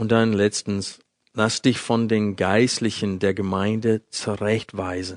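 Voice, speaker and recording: At a very slow pace and in a flat monotone, a man speaks with a fairly low pitch, the sound dry and close with no echo against a quiet background. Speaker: Bible teacher. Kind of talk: sermon.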